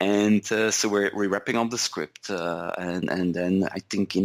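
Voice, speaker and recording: In a Flemish accent, a man speaks at a fairly slow pace in a fairly low pitch with monotone, flat intonation. The sound is dry and close, with no echo, on a very clean recording with a silent background. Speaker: software executive, podcast co-host. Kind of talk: casual chat.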